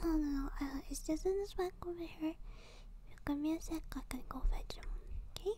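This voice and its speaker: A soft-spoken, gentle tone at a moderate pace, in a dry sound with no echo and light background noise. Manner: soft-spoken, gentle ASMR roleplay voice.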